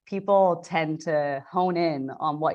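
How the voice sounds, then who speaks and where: A woman with a very deep, low pitch, ordinary pitch variation and a very slow pace. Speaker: meeting host presenting a book summary. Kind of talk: lecture.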